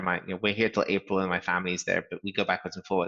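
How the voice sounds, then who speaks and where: A man speaks with monotone, flat intonation. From England. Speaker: startup founder and CEO. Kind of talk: interview. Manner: frequent fillers and hesitations.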